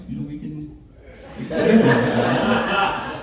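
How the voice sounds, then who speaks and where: The man's voice comes with audible room echo. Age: 40s. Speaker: stand-up comedian and emcee. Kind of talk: stand-up. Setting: stage with audience.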